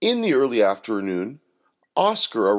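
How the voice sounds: Someone reads in a natural voice. Little else is heard, as the background is quiet.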